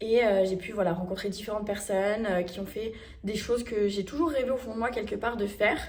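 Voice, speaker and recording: A woman speaks at a fairly quick pace and fairly high pitch, with ordinary pitch variation. Noticeable background noise runs under her voice. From France. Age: 20s. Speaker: travel vlogger. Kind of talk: casual talk to camera.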